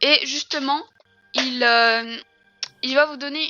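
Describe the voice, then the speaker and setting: Music plays in the background as a woman speaks very slowly in a high-pitched voice. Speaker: gaming YouTuber. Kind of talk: gameplay tutorial. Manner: hesitant, many fillers.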